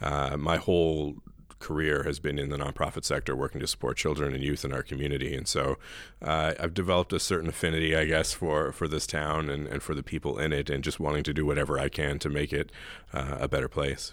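Talking at a very fast pace, a man with a very deep, low pitch keeps a monotone, flat intonation with vocal fry. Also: very clean recording, silent background. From New Brunswick, Canada. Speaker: town mayor. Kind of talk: interview.

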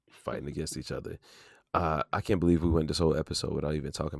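Recorded very cleanly against a silent background, a man speaks at a very deep, low pitch with vocal fry. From US South. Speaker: podcast host. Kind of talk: casual chat.

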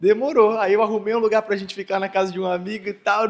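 This is a man talking. The audio is very clean, and nothing can be heard behind him. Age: 20s. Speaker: entrepreneur. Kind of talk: interview on stage at live event. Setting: stage with audience.

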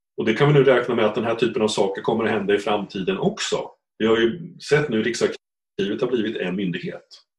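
A man talks at a fairly quick pace in a medium pitch, somewhat breathy, with lively intonation. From Östergötland, Sweden. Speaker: economics professor and genealogist. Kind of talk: interview. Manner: halting.

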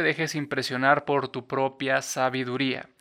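On a very clean recording with a silent background, a man with a Mexican accent speaks in a fairly high voice with a bright, sharp tone. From Mexico, Cuernavaca, Morelos. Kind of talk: devotional reflection monologue. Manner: hesitant, many fillers and repetitions.

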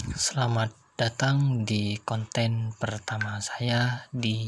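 Speaking at a very slow pace, a man has a medium pitch. His voice is somewhat breathy. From Indonesia, Jember (East Java). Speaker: podcaster. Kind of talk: solo monologue reading definitions. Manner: formal.

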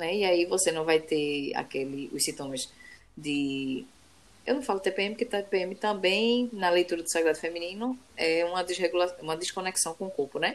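A woman speaks in an ordinary speaking voice at a fairly low pitch. Her pace is moderate and her intonation lively. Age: 30s. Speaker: podcast co-host. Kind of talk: casual chat.

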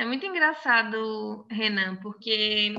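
A woman speaks at a fairly high pitch. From Northeast Brazil, Crato in inland Ceará (born in Salvador, Bahia). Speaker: university professor and sign language interpreter. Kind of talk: casual interview chat.

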